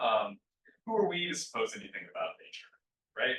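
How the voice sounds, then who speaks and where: Speaking at a fairly quick pace, a man talks with an American accent. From US Midwest, Indiana. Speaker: physics lecturer. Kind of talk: lecture.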